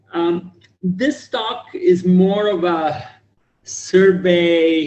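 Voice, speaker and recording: A man speaks loudly. His pitch is high. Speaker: computer science professor. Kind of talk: lecture.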